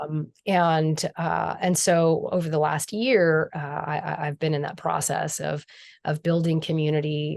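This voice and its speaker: A woman at a very deep, low pitch and fairly slow pace, with fairly even intonation, over a quiet background. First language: Spanish. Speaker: spiritual healer and teacher. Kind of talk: podcast interview. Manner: halting, many repeated words.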